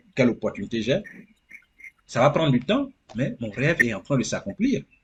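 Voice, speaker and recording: This man's voice is fairly high in pitch and somewhat breathy, moving at a moderate pace. His pitch swings very widely and his loudness shifts a lot. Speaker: immigrant sharing experience. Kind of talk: interview. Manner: animated.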